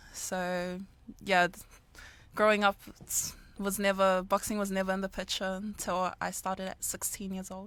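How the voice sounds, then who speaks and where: A woman with a New Zealand accent, medium pitch and flat monotone, a moderate pace broken by long, frequent pauses, on a very clean recording with a silent background. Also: big swings in loudness. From New Zealand, Auckland. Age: 20s. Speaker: amateur boxer. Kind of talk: interview. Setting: studio.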